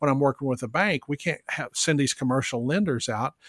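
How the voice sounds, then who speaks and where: This man has an ordinary speaking voice with fairly high pitch and ordinary pitch variation. The recording is very clean, with a silent background. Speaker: benefit auctioneer, business development consultant. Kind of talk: podcast interview answer, business talk.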